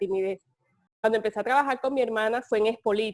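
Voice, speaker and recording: A woman's fairly high voice, dry and close with no echo, in a very clean recording with a silent background. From Colombia, Caribbean coast (Cartagena). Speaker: communications firm director. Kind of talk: interview testimony.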